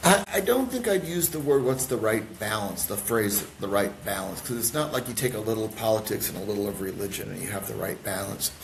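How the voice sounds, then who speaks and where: With an American accent, a man speaks at a medium pitch and a fairly quick pace with hardly any pauses and ordinary pitch variation, amid audible room echo and noticeable background noise. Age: 60s. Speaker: pastor. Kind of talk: podcast interview. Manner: halting.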